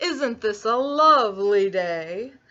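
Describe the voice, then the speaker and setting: This female-sounding voice is a put-on character voice. Its pitch sits fairly high. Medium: read story. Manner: silky, overly polite.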